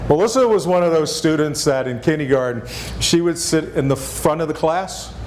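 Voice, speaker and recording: Speaking with a Texas accent, a man uses lively intonation at a fairly high pitch, with noticeable background noise and audible room echo. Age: 60s. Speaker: former national park superintendent. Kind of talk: lecture.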